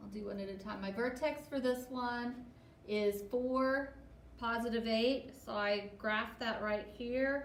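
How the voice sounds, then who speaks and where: Very slowly and with fairly even intonation, a woman speaks at a fairly high pitch. Audible room echo and noticeable background noise surround her. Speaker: math teacher. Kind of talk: tutorial. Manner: halting.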